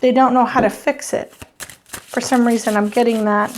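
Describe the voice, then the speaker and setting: A woman speaks at a high pitch. Her intonation is monotone and flat. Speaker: tarot reader. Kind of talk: channeled tarot reading. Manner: halting.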